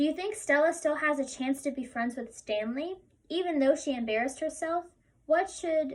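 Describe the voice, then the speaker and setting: Delivered at a moderate pace, the voice shows ordinary pitch variation. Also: woman. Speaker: teacher. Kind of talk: tutorial.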